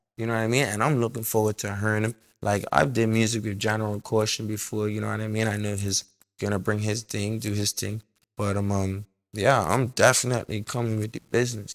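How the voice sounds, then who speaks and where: A man with a fairly low voice speaks at a fairly quick pace in a flat monotone, with a dry, close sound, no echo, and a very clean recording over a silent background. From Bermuda. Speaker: singer. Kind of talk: interview.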